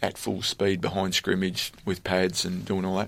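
A man with an Australian accent speaks at a moderate pace and a fairly low pitch. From Australia, country Victoria near Bendigo. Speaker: former pro footballer and kicking coach. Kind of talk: interview. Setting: studio.

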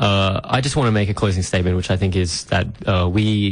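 A man's very deep, low, somewhat breathy voice at a fairly quick pace, with fairly even intonation. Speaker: radio host. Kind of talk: casual radio chat.

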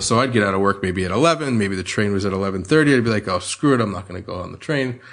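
A man speaks with a New Jersey accent at a fairly low pitch. His pitch varies normally against a quiet background. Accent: American, New Jersey. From US, New Jersey. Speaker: sommelier. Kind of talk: interview.

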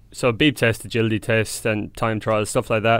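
A man speaks at a medium pitch with an Irish accent. The recording is very clean, with a silent background. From Ireland, County Tipperary. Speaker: professional Australian football player. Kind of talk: casual interview chat.

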